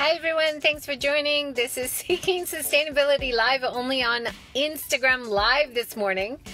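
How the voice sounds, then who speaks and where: A woman talks in a raised, projected voice with ordinary pitch variation. The sound is dry with no echo, and faint music plays in the background. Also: moderate pace. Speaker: talk show host. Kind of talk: interview host intro. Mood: cheerful, laughing. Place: car. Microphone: phone near.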